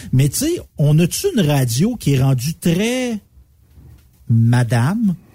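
A man with a Quebec accent and a fairly high, dark, mellow voice speaks very slowly and somewhat breathily at a very even loudness, his pitch swinging very widely between long, frequent pauses. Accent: Québécois French. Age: 40s. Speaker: radio co-host. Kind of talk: casual chat.

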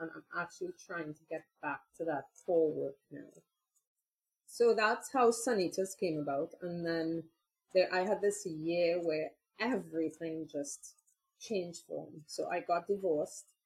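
A woman speaks at a fairly low pitch with a somewhat breathy voice. Her loudness swings widely. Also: ordinary pitch variation. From Trinidad and Tobago. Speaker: chocolate maker and activist. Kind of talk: interview. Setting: video call.

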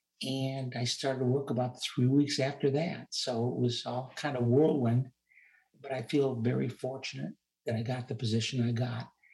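Somewhat breathy, a man speaks at a moderate pace and medium pitch with fairly even intonation. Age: 70s. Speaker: retired rehabilitation counselor and investor. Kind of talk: interview.

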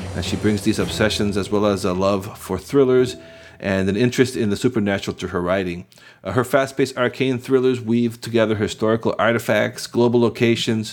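The speaker talks at a fairly quick pace with fairly even intonation. It is an unremarkable speaking voice. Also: man, fairly low pitch for a man. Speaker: podcast host. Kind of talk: interview.

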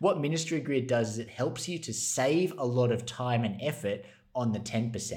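A somewhat breathy man with an Australian accent at a moderate pace, with audible room echo. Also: medium pitch for a man. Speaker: ministry resources manager. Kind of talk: podcast interview.

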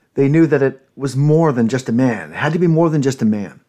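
Ordinary pitch variation with a Canadian accent. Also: man. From Canada, Ontario. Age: 50s. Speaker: podcast host. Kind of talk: solo monologue podcast. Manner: hesitant, many fillers.

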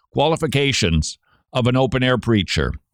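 A man with a plain, everyday voice, medium pitch and lively intonation comes through on a very clean recording with a silent background. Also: dry, close sound with no echo. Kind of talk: radio show monologue.

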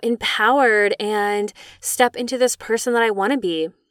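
A woman speaks in a normal speaking voice with fairly high pitch. The recording is very clean with a silent background. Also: dry, close sound with no echo. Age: 30s. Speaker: EFT tapping practitioner and podcast host. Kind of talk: personal monologue. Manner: casual, lots of filler words.

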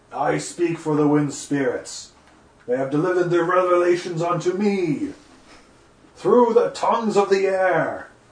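With slight echo, a man puts on a character voice at a high pitch and a moderate pace. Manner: grandiose, mystical.

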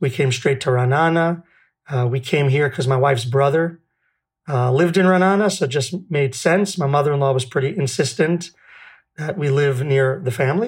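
A somewhat breathy man with a New York accent, fairly high pitch, ordinary pitch variation, very even loudness, and a moderate pace. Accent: New York American. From New York City. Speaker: food bank founder. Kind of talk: casual interview chat. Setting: video call. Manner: down to earth, humorous.

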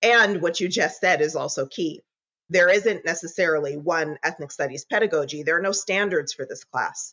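A woman's ordinary speaking voice, fairly low in pitch with ordinary pitch variation, at a fairly quick pace. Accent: American. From Southern California. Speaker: educator and social worker. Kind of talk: interview.

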